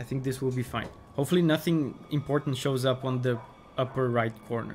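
Over light background noise, a man with a non-native accent speaks at a fairly quick pace and sounds somewhat breathy. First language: not English. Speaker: gaming streamer. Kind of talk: live gameplay stream commentary. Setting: live stream. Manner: animated. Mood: playful, joking.

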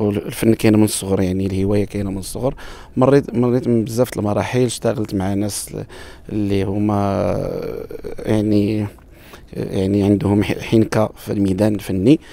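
A man talks at a moderate pace in a fairly low pitch with fairly even intonation. His tone is dark and mellow. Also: dry sound with no echo. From Morocco, Marrakech; Morocco. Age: 40s. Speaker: wedding musician and bandleader. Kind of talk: interview. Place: garden. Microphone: handheld.

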